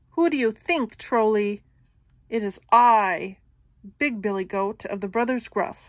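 A female-sounding voice bellows in a put-on character voice at a fairly high pitch and a fairly slow pace. The recording is very clean, with a silent background. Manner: bold, taunting, roaring.

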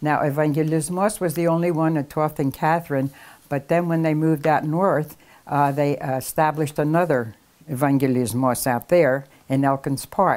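A woman with a Philadelphia accent, very deep, low pitch, fairly even intonation, very even loudness and a moderate pace. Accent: Philadelphia American English. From Philadelphia, US. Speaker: oral history interviewee. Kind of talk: casual interview. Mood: warm, nostalgic, smiling. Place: home room. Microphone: lapel.

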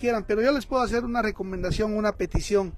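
A man's high-pitched voice with ordinary pitch variation, dry with no echo, over faint background music. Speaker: shop host running a live stream. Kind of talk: casual live-stream talk to viewers. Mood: warm, appealing. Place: shop.

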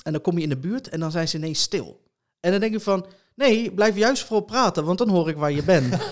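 A man speaks at a high pitch and a fairly quick pace, with lively intonation. The background is quiet. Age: 30s. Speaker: blind competitive gamer and streamer; blind competitive gamer, streamer. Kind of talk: interview conversation. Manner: hesitant, many filler sounds. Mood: calm, reflective. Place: home room. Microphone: studio mic.

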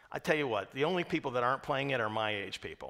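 Against a quiet background, a man talks in a bright, sharp tone with ordinary pitch variation. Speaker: pastor. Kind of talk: sermon. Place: church.

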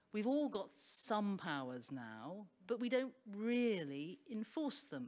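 Speaking at a very slow pace, a woman lets her pitch swing very widely. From Wales. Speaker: barrister and arbitrator; panelist. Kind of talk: panel discussion. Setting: stage with audience. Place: stage.

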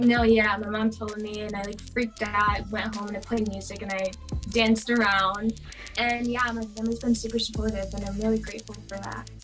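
With faint music in the background, a woman talks at a fairly quick pace with big swings in loudness. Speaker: actor guest. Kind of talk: interview answer. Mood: cheerful, laughing often. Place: home room.

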